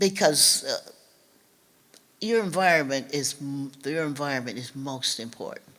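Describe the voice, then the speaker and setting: With a very deep, low pitch, a woman speaks at a fairly slow pace, leaving long, frequent pauses as her loudness swings widely. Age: 80s+. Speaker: civil rights author and speaker. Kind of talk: public talk. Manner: halting.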